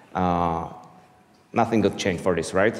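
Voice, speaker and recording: With an Eastern European accent, a man speaks at a very deep, low pitch and ordinary pitch variation, with audible room echo around him. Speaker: software developer, conference speaker. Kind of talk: conference talk. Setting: stage with audience.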